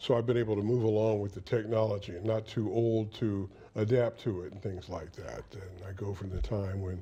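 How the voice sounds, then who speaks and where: Speaking at a moderate pace, a man has a fairly low pitch and a dark, mellow tone that is somewhat breathy. His intonation is fairly even. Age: 70s. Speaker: veteran TV news reporter. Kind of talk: interview.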